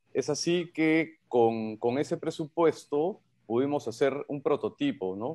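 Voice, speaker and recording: Ordinary pitch variation in a man's dark, mellow tone, set against a quiet background. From Peru. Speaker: entrepreneur, vodka producer. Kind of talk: radio interview. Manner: hesitant, many fillers. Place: home room. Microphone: video call.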